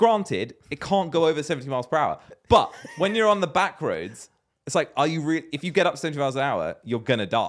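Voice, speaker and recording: A man with a British accent talks at a very fast pace, fairly high in pitch, with an animated tone and lively intonation. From Britain. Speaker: podcast co-host. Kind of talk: casual chat.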